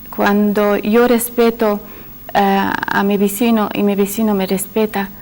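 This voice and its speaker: The speaker has an Arabic accent and monotone, flat intonation. Noticeable background noise is present. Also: woman. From Syria. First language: Arabic (speaking Spanish). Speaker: panel guest. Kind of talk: panel discussion. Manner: hesitant, many fillers.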